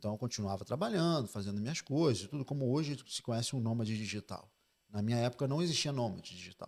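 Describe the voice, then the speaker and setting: In a very clean recording with a silent background, a man talks at a very fast pace, medium in pitch with ordinary variation. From Spain (Oviedo, Fuengirola) until 12, then Brazil. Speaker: financial advisor. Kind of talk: interview conversation.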